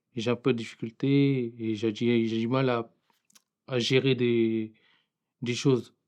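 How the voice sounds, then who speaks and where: Long, frequent pauses break up a man's very slow, monotone delivery at medium pitch. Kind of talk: testimony. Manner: halting, voice blocks when speaking.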